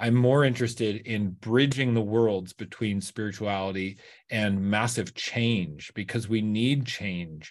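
Against a quiet background, a man speaks fairly slowly in a plain, everyday voice, pitched fairly low with ordinary pitch variation. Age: 50s. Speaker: raw vegan fitness coach. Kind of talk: podcast interview.

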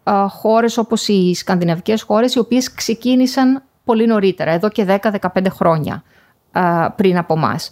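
This woman has an unremarkable speaking voice, fairly high in pitch, with ordinary pitch variation, a fairly slow pace and very even loudness. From Greece, Thessaloniki area. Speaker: professor. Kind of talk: interview. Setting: remote call.

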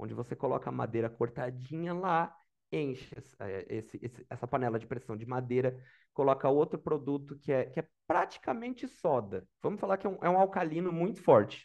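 A man talks at a fairly quick pace in a plain, everyday voice. The background is quiet. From Brazil, Santa Catarina highlands (Lages area). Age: 30s. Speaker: product manager job seeker. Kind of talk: mock job interview, casual.

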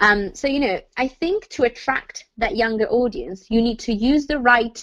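This woman speaks with an Italian accent. Her pitch is fairly high. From Italy. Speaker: journalism student. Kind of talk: casual chat.

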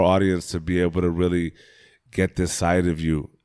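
The recording is very clean with a silent background. A man speaks at a moderate pace with a very deep, low pitch and a dark, mellow tone. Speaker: podcast co-host, guest. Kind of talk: casual, animated chat. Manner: boisterous, animated.

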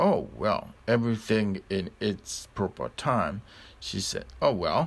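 The intonation stays fairly even during plain reading aloud.

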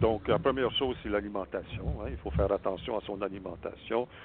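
Here a man talks at a moderate pace in an ordinary speaking voice. His pitch is fairly low and varies in an ordinary way. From Saskatchewan, Canada (French-Canadian family). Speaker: spiritual healer. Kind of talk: interview.

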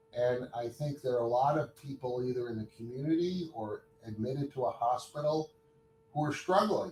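Against noticeable background noise, a man speaks at a moderate pace with medium pitch and ordinary pitch variation. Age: 60s. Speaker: hospital chief of staff and orthopedic surgeon. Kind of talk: interview.

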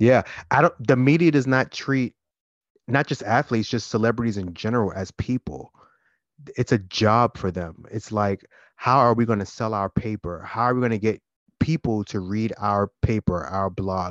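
A man's plain, everyday voice, fairly low-pitched, at a moderate pace with ordinary pitch variation, dry and close with no echo over a quiet background. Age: 30s. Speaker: podcast co-host. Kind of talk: casual chat.

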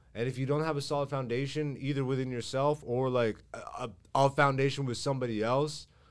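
On a very clean recording with a silent background, a man talks at a moderate pace with a medium pitch. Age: 30s. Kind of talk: casual chat. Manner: animated.

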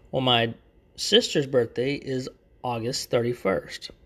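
Over a quiet background, a man with a Texan accent speaks at a fairly slow pace. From Texas. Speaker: YouTuber and podcaster. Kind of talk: casual solo chat. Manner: talkative, rambling; casual, chatty.

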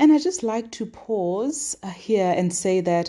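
Against a quiet background, a woman with a Lesotho accent speaks very slowly at a medium pitch, her dark, mellow tone carried by lively intonation. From southern Africa, Sesotho-speaking. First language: Sesotho. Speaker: devotional podcast host. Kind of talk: daily devotional teaching.

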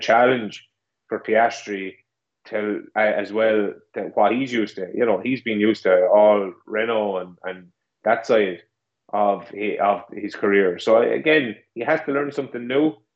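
At a moderate pace, a man with an Irish accent speaks at a medium pitch with ordinary pitch variation. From Ireland. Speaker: co-host. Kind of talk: casual podcast chat. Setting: video call from Ireland, late evening.

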